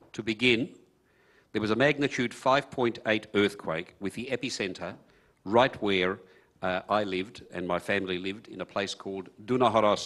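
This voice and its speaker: A man with an Australian accent speaks at a moderate pace and fairly low pitch against a quiet background. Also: ordinary pitch variation. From Hungary. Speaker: refugee speaker. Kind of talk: personal testimony. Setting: conference stage with audience.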